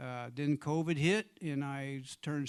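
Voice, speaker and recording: An American accent with fairly even intonation. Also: man. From US Midwest, southeast Missouri (Jackson, near Cape Girardeau). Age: 60s. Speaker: blues and Americana singer-songwriter. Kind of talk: casual stage banter between songs. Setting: small live venue with intimate audience, livestreamed. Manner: halting, conversational, with fillers.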